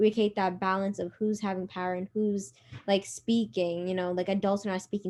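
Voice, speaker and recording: Her medium-pitched voice moves at a very fast pace, the woman keeping her intonation fairly even. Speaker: youth organization member. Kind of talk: casual chat.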